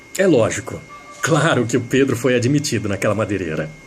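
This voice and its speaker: The pitch swings very widely at a moderate pace. Noticeable background noise is present. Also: man. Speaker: radio announcer. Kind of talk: radio storytelling with a moral.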